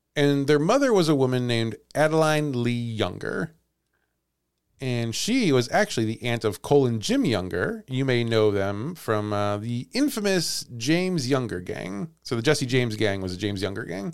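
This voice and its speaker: With lively intonation, a man talks at a moderate pace in an unremarkable speaking voice. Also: medium pitch for a man, very clean recording, silent background. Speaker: podcast host and storyteller. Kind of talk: casual chat with storytelling.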